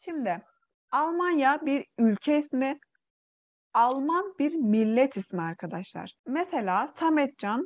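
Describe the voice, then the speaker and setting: Against a quiet background, a woman with a Xinjiang accent speaks at a very slow pace and a high pitch, her pitch swinging very widely. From East Turkistan (Xinjiang), Uyghur. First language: Uyghur (speaking Turkish). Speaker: Turkish language teacher. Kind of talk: online language lesson.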